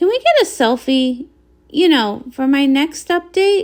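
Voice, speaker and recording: Squeaky and high-pitched, a woman performs a put-on character voice at a fairly slow pace. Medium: read story. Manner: bright, breezy.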